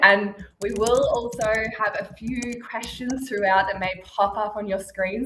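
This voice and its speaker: Noticeable background noise surrounds the speaker. She is a woman with an Australian accent. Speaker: channel success manager, webinar host. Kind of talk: webinar presentation. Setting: video webinar.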